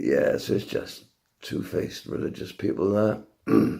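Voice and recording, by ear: A man's raspy, husky put-on character voice at a fairly slow pace.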